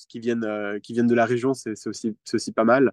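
No echo touches this dry, close sound. Delivery comes at a moderate pace. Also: man. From Geneva, Switzerland. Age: 20s. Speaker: youth climate delegate. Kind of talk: interview. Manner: halting, with many repeated words.

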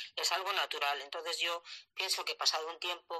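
At a moderate pace, a woman speaks with a fairly low pitch and a bright, sharp tone. The sound is dry and close, with no echo. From La Rioja, Spain. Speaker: retired teacher. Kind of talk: casual chat. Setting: live online audio room.

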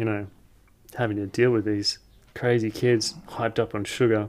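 A man with an Australian accent speaks at a moderate pace and medium pitch, with fairly even intonation. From Australia (Tasmania). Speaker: hiker and video creator. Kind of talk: casual chat.

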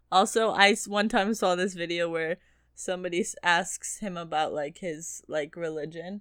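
A woman talks in a normal speaking voice at a moderate pace. Her pitch is fairly low for a woman, and her intonation fairly even. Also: very clean recording, silent background. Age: 20s. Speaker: podcast co-host. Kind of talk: casual chat.

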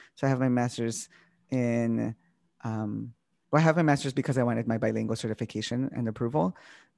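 The speaker has a Spanish accent and ordinary pitch variation. The recording is very clean, with a silent background. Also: man. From Chicago. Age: 30s. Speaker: math teacher. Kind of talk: casual chat. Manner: animated.

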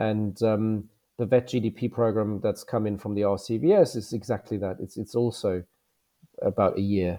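Using fairly even intonation, a man with a German accent speaks at a fairly low pitch. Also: moderate pace. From Germany. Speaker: veterinarian and graduate recruitment manager. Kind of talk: interview.

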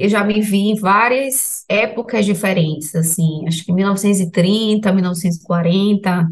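This woman talks at a very slow pace, her medium pitch carrying ordinary pitch variation. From Salvador, Bahia, Brazil. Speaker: health professional sharing ayahuasca experience. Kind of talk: personal testimony in interview.

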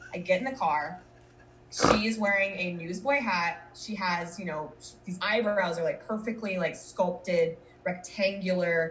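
With music in the background, a woman with an American accent speaks at medium pitch with ordinary pitch variation. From Minnesota and Colorado. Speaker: marketing professional, podcaster. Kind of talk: casual interview chat.

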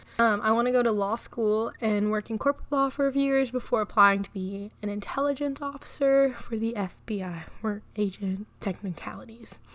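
A woman speaks at a moderate pace with fairly high pitch and ordinary pitch variation, hardly pausing at all. Noticeable background noise runs under her voice. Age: 20s. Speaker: podcaster. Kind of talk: casual monologue.

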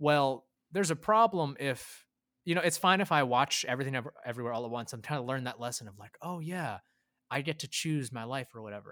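In a very clean recording with a silent background, a man with an American accent speaks very fast, his bright, sharp tone set at a fairly high pitch, with lively intonation and big swings in loudness. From Filipino American. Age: 20s. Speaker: podcast co-host. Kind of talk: casual chat.

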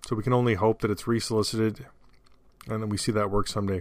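Very fast and in monotone, flat intonation, a man speaks with a fairly low pitch. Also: very clean recording, silent background. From Canada. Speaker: podcast host. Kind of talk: solo podcast monologue. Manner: casual, with frequent fillers.

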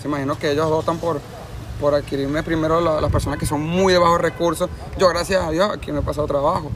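Speaking at a very fast pace, a man with a fairly high pitch keeps a monotone, flat intonation over noticeable background noise. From Venezuela. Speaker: street musician. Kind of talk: street interview.

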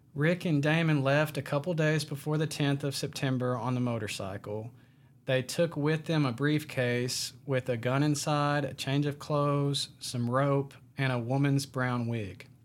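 A man's unremarkable speaking voice, fairly high-pitched and fairly slow, with fairly even intonation, in a very clean recording with a silent background. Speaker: podcast host. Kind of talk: true-crime narration. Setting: studio. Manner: steady storytelling, conversational, plain-spoken.

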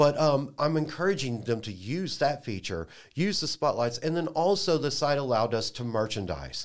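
With an American accent, an unremarkable speaking voice moves at a moderate pace with lively intonation on a very clean recording with a silent background. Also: man, fairly high pitch for a man. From Dallas, Texas. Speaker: IT worker and food group co-founder. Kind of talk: casual chat.

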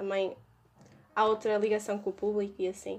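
This woman talks with a European Portuguese accent and a medium pitch. Her pace is fairly quick. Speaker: student association podcast host. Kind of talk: casual chat.

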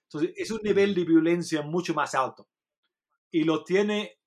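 The speaker has an English accent and lively intonation. The pace is fairly slow. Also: man. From England. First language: English (speaking Spanish). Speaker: journalist and author. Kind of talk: interview. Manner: halting.

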